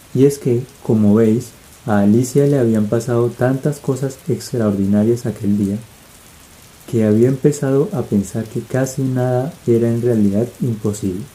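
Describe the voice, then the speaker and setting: A man talks in a normal speaking voice at medium pitch. His intonation is fairly even and his pace fairly slow. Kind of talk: audiobook-style ASMR reading. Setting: rain ambience in the background. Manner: soft, relaxing, sleep-inducing.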